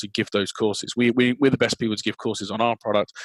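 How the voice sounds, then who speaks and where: On a very clean recording with a silent background and a dry, close sound with no echo, a speaker with an English accent talks in a monotone, flat intonation. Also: man. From England. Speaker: sales and marketing executive. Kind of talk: interview. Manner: halting, many repeated words.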